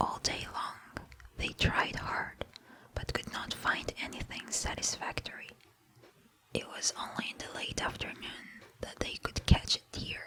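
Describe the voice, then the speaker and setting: A woman is whispering at a fairly slow pace. There is noticeable background noise behind her. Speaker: ASMR creator. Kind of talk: fable reading, bedtime story. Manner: whispered with mouth sounds.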